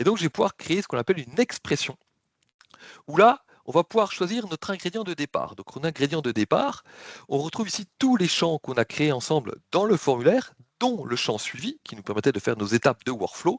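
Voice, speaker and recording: A man with vocal fry talks at a fairly quick pace and fairly high pitch, with big swings in loudness and very wide pitch swings. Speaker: software product presenter. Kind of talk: live software demo. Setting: online webinar. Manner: fast.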